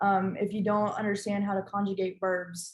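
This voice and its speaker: Speaking at a moderate pace, a woman has a medium pitch and a somewhat breathy sound. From Colombia, schooled in the United States. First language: Spanish. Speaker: recent graduate, panelist. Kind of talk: panel discussion. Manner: hesitant, many fillers.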